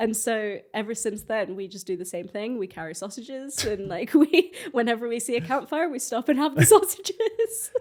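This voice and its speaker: The voice moves at a moderate pace with very wide pitch swings. Its loudness swings widely too. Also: woman, fairly high pitch for a woman, hardly any pauses. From Scotland. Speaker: photographer. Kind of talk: casual chat. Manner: animated.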